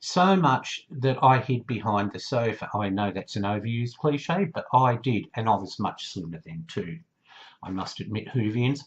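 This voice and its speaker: At a moderate pace, a man talks in a somewhat breathy voice with a medium pitch and lively intonation. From Australia. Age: 50s. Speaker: YouTuber, TV fan. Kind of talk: casual vlog monologue. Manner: chatty.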